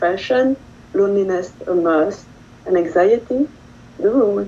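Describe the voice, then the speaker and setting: A woman with a French accent speaks at a moderate pace and medium pitch, with ordinary pitch variation. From France. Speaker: poet. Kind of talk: poetry reading.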